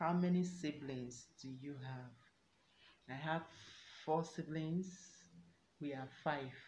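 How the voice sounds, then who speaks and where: A woman's somewhat breathy, very deep and low voice at a very slow pace, with long, frequent pauses, audible room echo and light background noise. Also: fairly even intonation. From Nigeria, Enugu State; Nigeria. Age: 20s. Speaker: YouTuber. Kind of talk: self-introduction Q&A vlog. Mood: warm, earnest. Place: home room. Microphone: phone near.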